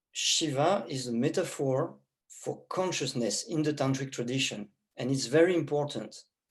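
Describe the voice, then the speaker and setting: The speaker has a French accent. The pace is very slow. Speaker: tantra teacher. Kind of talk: lecture.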